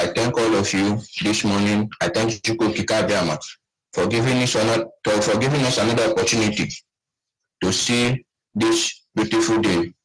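This is a normal speaking voice. Its loudness is very even and its intonation fairly even. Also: man, medium pitch for a man, moderate pace. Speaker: caller. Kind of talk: call-in comment.

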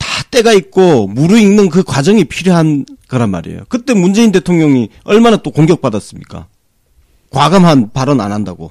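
Heard in a dry, close sound with no echo, a man with a fairly high pitch talks at a moderate pace while his pitch swings very widely. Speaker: political podcast panelist. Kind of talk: political talk show discussion.

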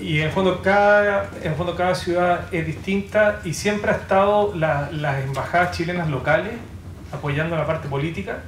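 A man with a high pitch and lively intonation speaks at a moderate pace, with audible room echo and light background noise. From Chile. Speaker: poet and artist; poet. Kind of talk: panel presentation. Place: hall.

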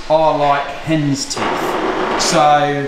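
Audible room echo and noticeable background noise surround a man as he speaks. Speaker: car restorer vlogger. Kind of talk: casual vlog chat. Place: workshop. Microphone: phone near.

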